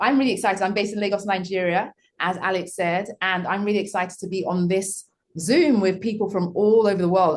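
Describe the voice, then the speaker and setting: In a British accent, the speaker talks at a very fast pace with fairly even intonation. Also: woman. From UK. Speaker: school founder. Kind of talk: panel conversation. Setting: video call.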